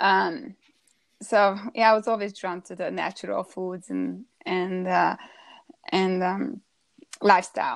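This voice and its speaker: Speaking fairly slowly with a Hungarian accent, the voice has big swings in loudness and long, frequent pauses. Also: woman, quiet background. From Hungary. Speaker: holistic food coach. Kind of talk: interview, personal story. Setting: live stream broadcast.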